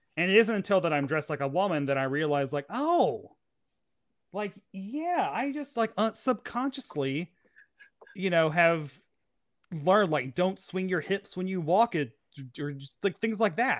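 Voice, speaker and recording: In a very clean recording with a silent background, a man with an American accent speaks at a moderate pace and high pitch, his intonation lively and his loudness swinging widely. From US South, Tennessee. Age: 30s. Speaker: pop culture journalist and drag performer. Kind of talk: casual chat.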